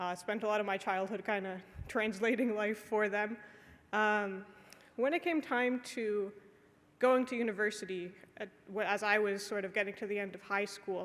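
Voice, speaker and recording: A woman with a Canadian accent speaks at a medium pitch and a moderate pace. Her intonation is fairly even, broken by long, frequent pauses. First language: Polish. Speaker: conference panelist, early-career radiation scientist. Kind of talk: conference talk. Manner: casual with frequent fillers.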